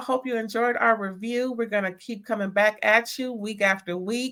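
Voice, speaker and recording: Speaking at a moderate pace, a woman with a fairly high pitch sounds animated, with ordinary pitch variation. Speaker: drag show review host. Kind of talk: casual review chat.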